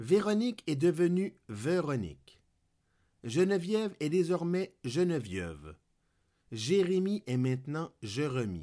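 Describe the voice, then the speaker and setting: In a very clean recording with a silent background, a man speaks at a very slow pace with a fairly high pitch, a dark, mellow tone, very wide pitch swings and long, frequent pauses. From Quebec. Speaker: podcaster. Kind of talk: scripted narration.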